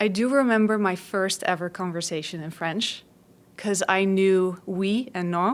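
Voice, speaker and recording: The speaker has a Dutch accent and ordinary pitch variation. The pace is fairly slow. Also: woman, medium pitch for a woman. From Netherlands, West Africa and Saudi Arabia. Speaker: trauma therapist. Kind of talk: podcast interview.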